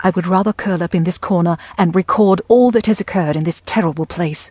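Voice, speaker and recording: This woman's voice is somewhat breathy, heard in a dry, close sound with no echo. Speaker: audiobook narrator. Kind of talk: dramatic audiobook narration, gothic first-person diary read with character voices. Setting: studio. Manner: theatrical, brooding and melancholy, with a dread-laden, haunted tone; shifts to a petulant, defiant young woman's voice and a scolding mother in dialogue.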